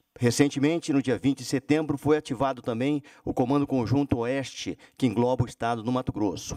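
Against a quiet background, a man with a dark, mellow tone speaks at a fairly quick pace with hardly any pauses and fairly even intonation. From Brazil. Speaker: army general. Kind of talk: formal presentation. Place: meeting room. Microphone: podium.

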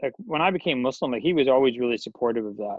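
A man with an American accent talks in a dry recording with no echo. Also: quiet background. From Washington D.C. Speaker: professor of Islamic studies; guest. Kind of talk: casual interview chat. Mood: reflective, casual. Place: home room. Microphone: video call.

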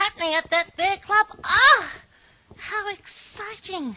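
This is a put-on character voice that sounds female. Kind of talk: comedy show host talk to camera. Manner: camp, theatrical.

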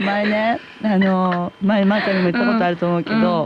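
There's a woman talking. Light noise sits in the background. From Hamamatsu, Shizuoka. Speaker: actress. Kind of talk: radio guest conversation. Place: studio.

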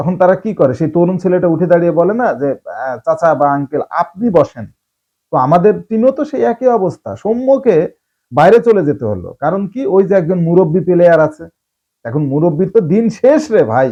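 Pitch swings very widely in this man's speech. His voice sits high for a man. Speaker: cricket commentator. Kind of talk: opinion monologue. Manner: animated.

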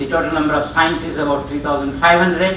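A man's voice with fairly even intonation, audible room echo and light background noise. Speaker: conference presenter. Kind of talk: lecture. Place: hall.

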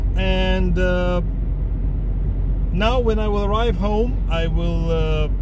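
Loud background noise surrounds a man's voice, recorded dry with no echo. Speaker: music collector vlogger. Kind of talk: casual vlog chat. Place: car. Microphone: phone near.

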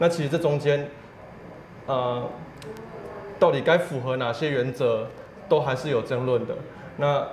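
A man talks at a fairly slow pace, with long, frequent pauses and fairly even intonation. The room echo is audible, and light background noise sits underneath. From Taiwan. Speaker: civil rights advocate; guest. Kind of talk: interview. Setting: office. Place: studio. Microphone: lapel.

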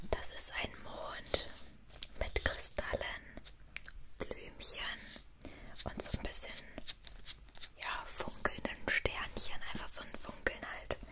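Whispering at a very slow pace in a soothing tone, with long, frequent pauses. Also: woman. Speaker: ASMR creator. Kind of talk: ASMR whisper talk to camera, explaining her tattoos. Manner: whispered, relaxing, soothing. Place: home room. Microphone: studio mic.

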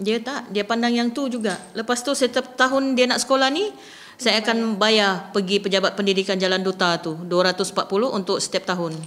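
Ordinary pitch variation marks this woman's speech, which moves at a moderate pace. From Sabah, Malaysia. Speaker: mother of a student. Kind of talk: interview. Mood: concerned, earnest. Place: meeting room. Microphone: podium.

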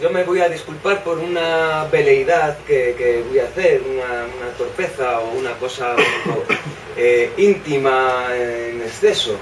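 The speech moves at a fairly slow pace. Background noise is noticeable. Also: man. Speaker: bookshop host. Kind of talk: welcome speech; poetry reading and stage talk. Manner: hesitant, halting, repeats words. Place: shop.

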